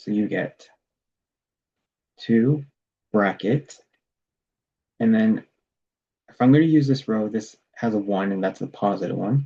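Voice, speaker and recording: The tone of this man's voice is dark and mellow. He talks at a fairly slow pace. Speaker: math tutor. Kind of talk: tutorial.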